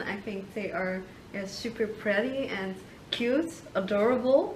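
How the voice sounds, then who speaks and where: A woman with a Dutch accent talks fairly slowly at a fairly high pitch, amid noticeable background noise and audible room echo. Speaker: video marketer and interviewer. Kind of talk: interview.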